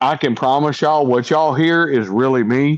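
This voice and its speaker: A man with an American accent speaks at a moderate pace. His pitch sits in the medium range. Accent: strong Southern accent, toned down a little. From East Texas. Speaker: career police officer. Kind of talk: casual panel chat.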